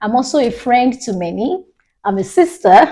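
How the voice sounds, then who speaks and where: Somewhat breathy and dark, mellow in tone, the voice comes with a Nigerian accent. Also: woman. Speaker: minister and recruiter. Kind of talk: casual interview.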